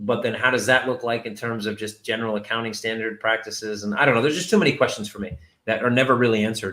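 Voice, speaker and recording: A loud man with a bright, sharp tone talks at a very fast pace with hardly any pauses. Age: 40s. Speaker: company CEO hosting a Q&A. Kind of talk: livestream Q&A. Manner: casual, rambling with fillers.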